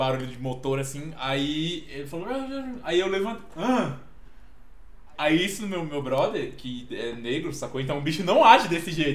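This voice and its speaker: The speech moves at a moderate pace with lively intonation and big swings in loudness. Noticeable background noise and audible room echo fill the recording. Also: man, fairly high pitch for a man. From Minas Gerais, then Brasília from age 7. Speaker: podcast guest. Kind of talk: casual chat.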